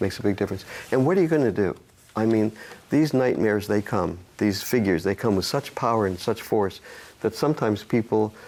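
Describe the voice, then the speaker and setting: The voice has a dark, mellow tone. It moves at a fairly quick pace. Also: man. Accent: American. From United States. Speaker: dream specialist, psychologist. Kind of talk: interview answer.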